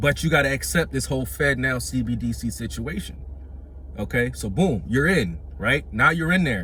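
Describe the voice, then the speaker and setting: A man with a fairly low voice speaks amid audible room echo. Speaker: religious teacher. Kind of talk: bible teaching. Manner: halting, many fillers and repeats.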